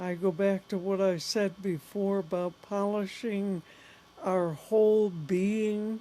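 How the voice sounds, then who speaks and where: A dark, mellow tone carries fairly even intonation. The delivery is very slow. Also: woman, medium pitch for a woman. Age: 70s. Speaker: spiritual teacher. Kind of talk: spiritual talk. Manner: conversational.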